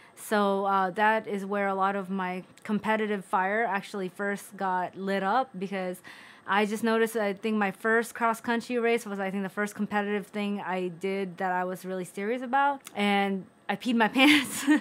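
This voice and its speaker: A woman with an American accent speaks at a moderate pace, her intonation fairly even. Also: medium pitch for a woman, very clean recording, silent background. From Philippines and US (Bay Area). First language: Tagalog. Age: 30s. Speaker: vlogger. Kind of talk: casual personal vlog.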